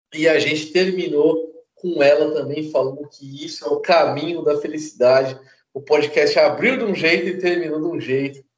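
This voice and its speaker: A man with a fairly high pitch, fairly even intonation, a moderate pace and big swings in loudness. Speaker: podcast host, martial arts teacher. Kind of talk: casual chat. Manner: more serious than usual.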